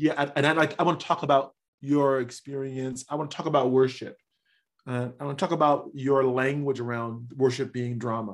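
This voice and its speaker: Someone with an American accent talks in a normal speaking voice at a moderate pace. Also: man. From US Midwest, Chicago. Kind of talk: casual interview. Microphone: sitting too far back from the microphone.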